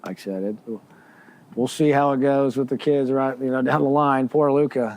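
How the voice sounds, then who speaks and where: Against a quiet background, a man with a medium pitch talks at a moderate pace. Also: fairly even intonation. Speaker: golf course assistant manager. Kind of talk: casual chat. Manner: a little loud.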